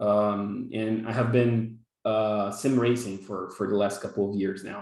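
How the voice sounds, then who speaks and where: This man speaks with a Brazilian Portuguese accent. His pace is very slow. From Brazil, São Paulo. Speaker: software developer, workshop instructor. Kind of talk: online workshop presentation. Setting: video call. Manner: halting, many fillers and repetitions.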